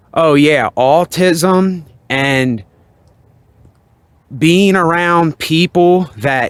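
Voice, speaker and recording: A man speaks in a relaxed tone. The sound is dry and close, with no echo. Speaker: video blogger. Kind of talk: casual monologue. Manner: relaxed, toned down.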